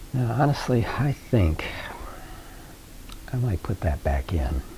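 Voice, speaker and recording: Over noticeable background noise, a man with a fairly low pitch speaks at a fairly slow pace, his pitch swinging very widely. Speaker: painter. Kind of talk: painting tutorial. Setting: studio. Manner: halting.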